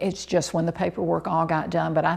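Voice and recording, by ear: Speaking at a fairly quick pace, a woman uses a fairly low pitch, a slightly mellow tone, vocal fry and little pitch movement.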